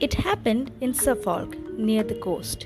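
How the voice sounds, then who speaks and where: A woman's fairly slow speech over music in the background. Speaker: first-time amateur narrator. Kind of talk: horror audio story narration.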